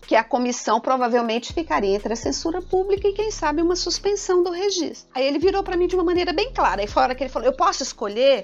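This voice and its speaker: Over noticeable background noise, a woman talks very fast with very wide pitch swings. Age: 50s. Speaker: engineering professor. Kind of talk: podcast interview. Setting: studio.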